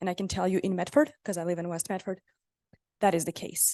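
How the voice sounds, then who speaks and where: A woman speaks in a dark, mellow tone. The sound is dry and close with no echo, against a quiet background. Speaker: regional economic recovery official presenting to council. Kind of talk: public meeting presentation. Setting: city council meeting. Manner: fast.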